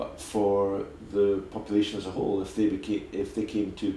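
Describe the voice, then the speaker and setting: A man's fairly low, somewhat breathy voice with a dark, mellow tone and audible room echo. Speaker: dentist. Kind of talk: interview.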